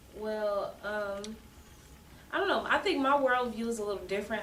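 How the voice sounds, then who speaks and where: Fairly quick speech from a woman, plus audible room echo and noticeable background noise. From US Midwest, Kansas City, Missouri. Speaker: guest, new mother. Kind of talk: casual interview.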